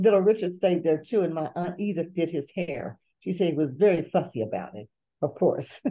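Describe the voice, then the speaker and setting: Speaking with an American accent, a woman uses a fairly low pitch, vocal fry and lively intonation at a fairly quick pace. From Bluefield, West Virginia. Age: 70s. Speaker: author. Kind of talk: interview.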